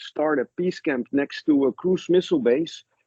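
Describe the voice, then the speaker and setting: This man, speaking with a Dutch accent, has a fairly high voice, ordinary pitch variation and a moderate pace. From Netherlands. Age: 60s. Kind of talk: interview storytelling. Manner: halting; animated.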